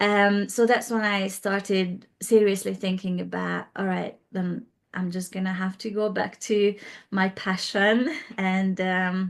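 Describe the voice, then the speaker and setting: With a Hungarian accent, a woman at medium pitch talks at a fairly slow pace in a monotone, flat way against a quiet background. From Hungary, Budapest. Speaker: interior designer. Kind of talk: interview. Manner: hesitant, many fillers.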